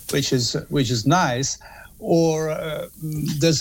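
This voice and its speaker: A man speaks with an Italian accent. His pitch variation is ordinary. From Italy. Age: 50s. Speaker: music author and journalist. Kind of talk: interview. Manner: halting.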